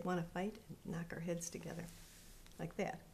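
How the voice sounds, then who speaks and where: A woman speaks at a moderate pace with a dark, mellow tone. Her voice carries vocal fry. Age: 70s. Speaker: interviewee recounting her childhood. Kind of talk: interview testimony. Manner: halting.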